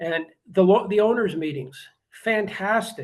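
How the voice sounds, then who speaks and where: This man has a Canadian accent. He speaks at a moderate pace. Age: 60s. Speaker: club co-owner, radio host, youth coach. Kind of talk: interview. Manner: halting, frequent repetitions.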